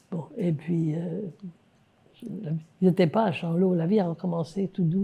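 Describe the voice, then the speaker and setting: A woman's somewhat breathy voice carries a dark, mellow tone, a fairly low pitch and fairly even intonation. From France. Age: 80s+. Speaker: Holocaust survivor. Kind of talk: interview answer.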